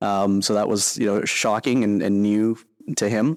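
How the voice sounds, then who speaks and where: Speaking fairly slowly in a Canadian accent, a man with a fairly low pitch comes through on a very clean recording with a silent background. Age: 40s. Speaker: military veteran. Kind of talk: interview conversation. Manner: halting, many fillers and repetitions.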